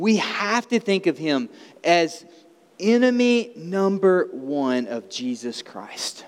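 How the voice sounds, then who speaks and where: Noticeable background noise sits behind a man with an Alabama accent. He talks at a very slow pace with very wide pitch swings. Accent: Southern US (Alabama). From US South, small-town Alabama. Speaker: pastor. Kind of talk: sermon.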